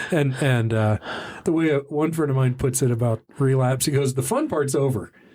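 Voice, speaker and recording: A man with an American accent, medium pitch and an ordinary speaking voice, at a moderate pace with very even loudness and ordinary pitch variation. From Texas (Dallas). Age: 60s. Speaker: sobriety podcast host. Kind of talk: casual interview. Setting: studio.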